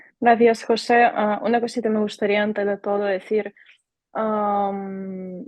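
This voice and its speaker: Someone speaks with a Ukrainian accent at a very slow pace. The intonation is monotone and flat. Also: woman. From Ukraine. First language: Ukrainian (speaking Spanish). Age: 20s. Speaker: volunteer. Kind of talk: interview.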